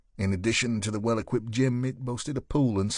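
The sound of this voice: Speech in an unforced reading voice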